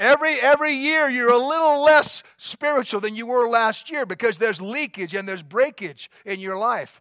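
A man's raised, projected voice, extremely high-pitched, bright and sharp in tone, at a moderate pace. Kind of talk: pep talk. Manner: fervent, exhorting, urgent; repetitive, emphatic, rallying the crowd.

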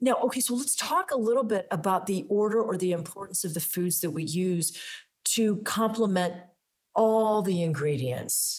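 At a moderate pace, a plain, everyday voice carries lively intonation. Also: woman, medium pitch for a woman. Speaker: wellness podcast host. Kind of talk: interview. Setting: in person on location.

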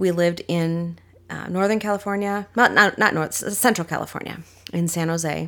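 A woman with an American accent talks at a moderate pace in a fairly low voice with fairly even intonation. It is an unremarkable speaking voice, recorded very cleanly against a silent background. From Minnesota. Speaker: life coach and church ministry leader. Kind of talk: casual interview.

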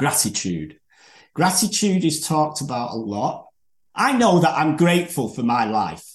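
A man with a Manchester accent, fairly high pitch, very wide pitch swings, vocal fry and a moderate pace. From northern England. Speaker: podcast host. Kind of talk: casual interview chat. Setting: video call.

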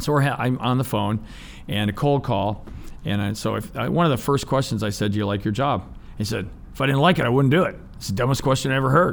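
Vocal fry runs through a man's speech, which moves at a fairly quick pace with ordinary pitch variation. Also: medium pitch for a man. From Ohio, US. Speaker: business owner and navy veteran. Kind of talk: interview. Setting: studio.

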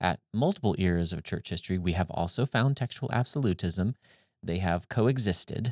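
In a plain, everyday voice, a man speaks at a moderate pace and a fairly low pitch, with a dry, close sound, no echo, and a very clean recording with a silent background. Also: lively intonation. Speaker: podcast host and discussion moderator. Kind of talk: panel discussion on biblical scholarship.

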